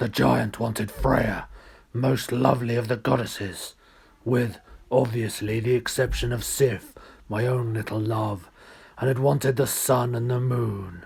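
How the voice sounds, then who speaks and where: In a booming, put-on character voice, a man speaks at a medium pitch and moderate pace with fairly even intonation. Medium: read story. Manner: gloomy.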